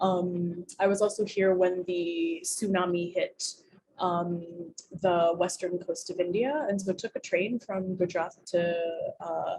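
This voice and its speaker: A woman's somewhat breathy, dark and mellow voice at medium pitch, fairly slow, with fairly even intonation. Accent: American. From US. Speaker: community leader. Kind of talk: interview. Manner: casual, filler-heavy.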